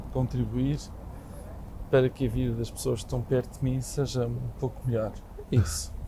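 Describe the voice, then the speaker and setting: Long pauses come often in this man's speech. Otherwise his pace is moderate. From Portugal, Lisbon. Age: 60s. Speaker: real estate association president. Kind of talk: podcast interview. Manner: halting, many repetitions; calm.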